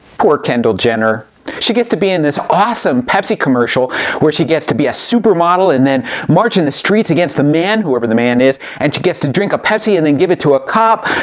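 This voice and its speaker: A man talks at a very fast pace with a fairly high pitch and very wide pitch swings. His loudness stays very even, with noticeable background noise behind him. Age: 60s. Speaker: author and rhetoric teacher. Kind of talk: educational commentary.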